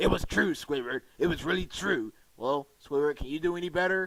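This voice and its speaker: In a put-on character voice, a man talks at a fairly quick pace with a fairly high pitch. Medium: audio drama. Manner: folksy, storytelling.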